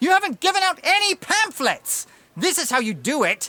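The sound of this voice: In a put-on character voice, a woman speaks at an extremely high pitch with big pitch swings. Her tone is bright and sharp. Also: moderate pace.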